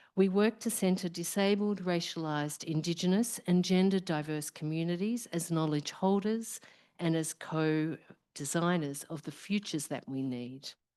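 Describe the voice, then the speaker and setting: A woman with a very deep, low pitch and a dark, mellow tone talks at a moderate pace with ordinary pitch variation over a quiet background. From Australia. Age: middle-aged. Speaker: professor, research program director. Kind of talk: opening speech at symposium. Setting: live event with audience.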